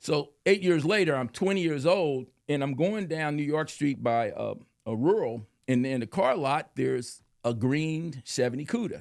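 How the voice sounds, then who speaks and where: Using an ordinary speaking voice, a man with an American accent talks at a fairly high pitch with lively intonation. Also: moderate pace. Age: 60s. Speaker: car enthusiast and biker. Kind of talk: casual chat.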